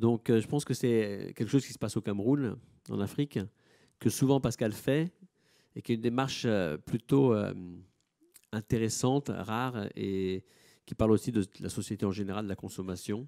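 At a moderate pace, a man with a medium pitch and a dark, mellow tone speaks with ordinary pitch variation and long, frequent pauses. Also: quiet background. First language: Italian (speaking French). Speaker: gallery director; moderator or curator presenting the artist. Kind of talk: panel moderation. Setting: auditorium with audience. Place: hall. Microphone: microphone problems.

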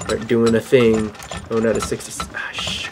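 The speech comes at a moderate pace with clear music in the background. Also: man. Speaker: gaming commentator. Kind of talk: commentary.

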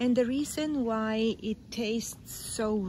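Somewhat breathy, the voice moves at a very slow pace with fairly even intonation, a dry sound with no echo and light background noise. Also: woman. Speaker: tour guide narrator. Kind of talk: guided tour commentary. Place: forest. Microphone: phone near.

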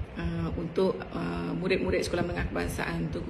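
Noticeable background noise sits under a woman's voice. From Malaysia. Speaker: school principal. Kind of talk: welcome speech. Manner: formal. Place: home room. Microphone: video call.

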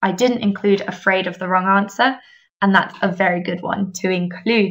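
In an English accent, a woman talks at a medium pitch with ordinary pitch variation. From England. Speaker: English teacher trainer. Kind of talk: webinar presentation. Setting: online webinar.

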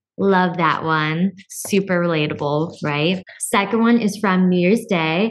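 A woman at a very slow pace with hardly any pauses, medium pitch, ordinary pitch variation and very even loudness, against a quiet background. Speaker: podcast co-host. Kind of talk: casual chat. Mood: warm, cheerful. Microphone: studio mic.

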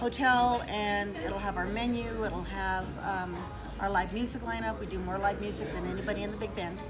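Clear music in the background behind a woman at a fairly quick pace. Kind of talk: interview answer. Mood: proud, cheerful. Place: bar. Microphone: phone near.

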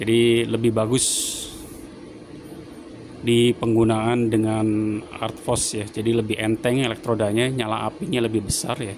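Noticeable background noise sits behind a man's voice. He speaks at a fairly slow pace in a monotone, flat way. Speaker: welder reviewing a machine. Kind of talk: tutorial. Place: workshop.

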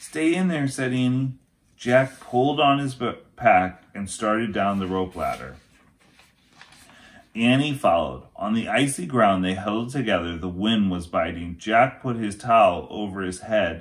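The pace is fairly slow. A man delivers it with lively intonation. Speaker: teacher reading aloud. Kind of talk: story read-aloud. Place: home room. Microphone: phone near.

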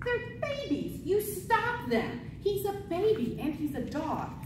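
A woman speaks slowly at an extremely high pitch, with big pitch swings. Clear background noise and audible room echo surround her voice.

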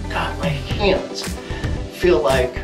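A man talks while music plays clearly behind him. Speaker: vlogger. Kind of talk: casual vlog chat. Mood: shivering, excited. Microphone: phone near.

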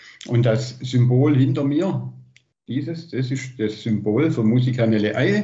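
This man talks at a fairly slow pace with vocal fry. His pitch varies in an ordinary way. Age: 60s. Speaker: liaison for Italian twin town; guest. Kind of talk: casual report. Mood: warm, enthusiastic. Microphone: video call.

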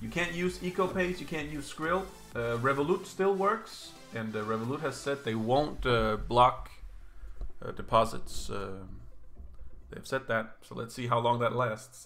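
With music in the background, a man speaks at a fairly slow pace, his loudness swinging a lot. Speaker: slots streamer. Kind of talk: casual livestream commentary. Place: home room.

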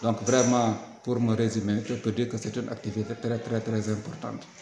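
A man speaks at a medium pitch in a monotone, flat delivery. Light background noise and audible room echo surround him. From Senegal. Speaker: school inspector. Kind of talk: interview statement. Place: classroom.

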